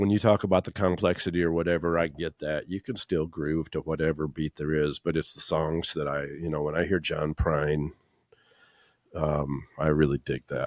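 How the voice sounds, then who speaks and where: A man with a very deep, low voice speaks at a moderate pace. The sound is dry and close with no echo, very clean against a silent background. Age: 60s. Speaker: musician, bass player. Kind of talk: casual chat. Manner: hesitant, lots of fillers.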